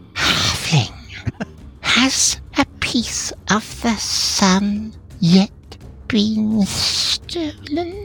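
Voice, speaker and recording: A put-on character voice whispers at a very slow pace in a menacing tone. Background noise is clearly heard. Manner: villainous, menacing.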